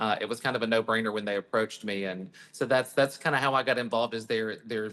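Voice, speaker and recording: Speaking very fast with an American accent, a man uses a medium pitch, a bright, sharp tone and ordinary pitch variation. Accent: Southern US accent, perhaps slight. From US South. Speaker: hairstylist and salon owner. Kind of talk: interview. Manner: hesitant fillers, conversational.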